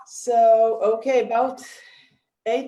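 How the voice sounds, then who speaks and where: In a non-native accent, a woman talks at a fairly slow speed. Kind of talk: reading a prepared talk. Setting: video webinar. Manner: careful, read from notes.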